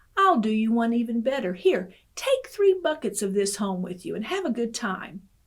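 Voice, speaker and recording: Using a put-on character voice, a woman speaks at a moderate pace with a fairly high pitch that swings very widely. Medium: read story. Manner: friendly.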